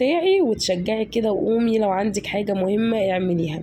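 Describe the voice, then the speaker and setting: A woman with an Egyptian accent speaks at a fairly quick pace, her medium-pitched voice somewhat breathy. The tone is dark and mellow, with ordinary pitch variation. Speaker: home vlogger. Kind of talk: casual vlog narration. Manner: warm, chatty with hesitations.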